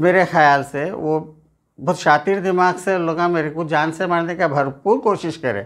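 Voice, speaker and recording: A man's high-pitched voice at a fairly slow pace, with ordinary pitch variation and a quiet background. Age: 50s. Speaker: assault victim. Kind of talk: testimony. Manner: pleading. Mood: aggrieved, earnest complaint. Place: home room. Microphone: lapel.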